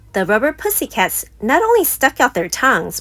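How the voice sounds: A woman at a fairly slow pace, with very wide pitch swings.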